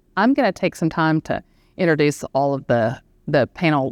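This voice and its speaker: A woman with a Southern US accent speaks at a moderate pace. The sound is dry and close with no echo, and the background is quiet. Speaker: equity strategist and panel moderator. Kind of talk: panel discussion moderation. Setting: live event with audience in room.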